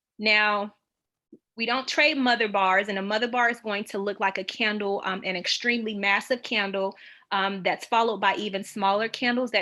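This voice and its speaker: Her tone is bright and sharp. The woman keeps a medium pitch and fairly even intonation. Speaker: trading educator. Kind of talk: tutorial. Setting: video call with screen share. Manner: fast.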